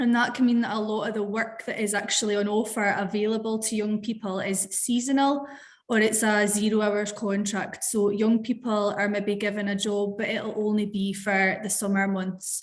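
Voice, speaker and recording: With a southwest Scottish accent, a woman speaks at a fairly high pitch and a moderate pace, barely pausing at all. Her intonation is monotone and flat, and the room echo is audible. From Scotland, Dumfries and Galloway. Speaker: youth worker. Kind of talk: webinar panel discussion.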